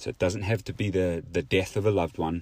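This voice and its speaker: The recording is very clean, with a silent background. A man speaks with a very deep, low pitch, a dark, mellow tone and fairly even intonation. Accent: New Zealand. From New Zealand. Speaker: podcast host. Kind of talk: solo motivational monologue.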